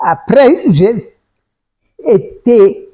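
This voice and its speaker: A woman speaks with a somewhat breathy voice and very wide swings in pitch. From Gabon. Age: 90s. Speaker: retired politician and former teacher. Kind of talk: interview. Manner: halting.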